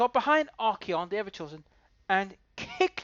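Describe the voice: The reading aloud is plain, while the intonation stays lively.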